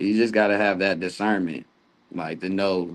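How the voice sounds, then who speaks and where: Speaking fairly slowly with fairly even intonation, a man with an American accent has a very deep, low pitch. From North Carolina. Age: 30s. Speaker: basketball coach and church drummer. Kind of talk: casual chat.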